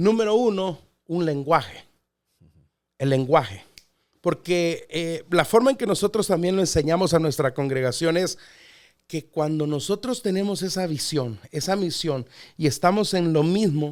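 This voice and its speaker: A man with a high voice speaks at a fairly slow pace with lively intonation and long, frequent pauses, on a very clean recording with a silent background. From Mexico City, Mexico. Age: 40s. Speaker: pastor. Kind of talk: podcast interview.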